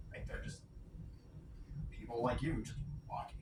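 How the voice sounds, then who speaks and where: The voice is quiet and moves at a moderate pace, with audible room echo and noticeable background noise. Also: man. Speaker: vlogger. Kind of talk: casual vlog monologue. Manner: rambling, self-correcting.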